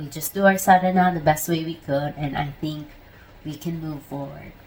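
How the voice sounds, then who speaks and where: A woman's very deep, low voice, somewhat breathy, at a moderate pace with big swings in loudness. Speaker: spiritual practice vlogger. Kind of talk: casual vlog monologue. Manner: animated.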